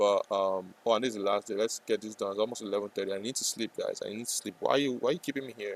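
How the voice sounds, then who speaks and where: Speaking at a very fast pace with hardly any pauses, a man keeps his intonation fairly even in a dry, close sound with no echo. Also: fairly low pitch for a man. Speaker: day trader streamer. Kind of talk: live trading stream chat. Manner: hesitant, repetitive.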